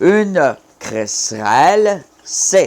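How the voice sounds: A man speaks with very wide pitch swings.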